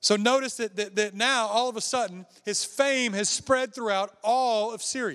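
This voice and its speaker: A man speaks in a high voice with hardly any pauses. The recording is very clean, with a silent background. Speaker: traveling preacher. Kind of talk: sermon. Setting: church with congregation. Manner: fast.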